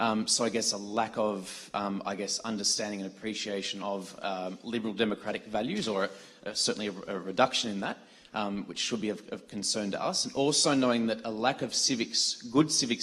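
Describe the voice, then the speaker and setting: A man talks at a fairly quick pace in a fairly low pitch. His intonation is fairly even. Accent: Australian. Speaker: audience member asking a question. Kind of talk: audience question at a public talk. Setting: event hall with audience. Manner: hesitant, many fillers.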